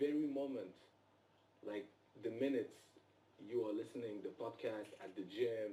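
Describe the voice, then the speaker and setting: A man with a non-native accent talks at a moderate pace in a medium pitch, his tone dark and mellow and his intonation lively. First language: not English. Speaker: actor. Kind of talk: live interview. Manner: halting.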